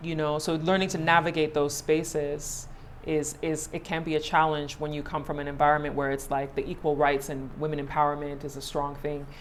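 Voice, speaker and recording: Over noticeable background noise and audible room echo, a woman talks in a very deep, low pitch with monotone, flat intonation, a fairly quick pace and hardly any pauses. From Ghana. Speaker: media personality and host. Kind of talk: casual interview chat.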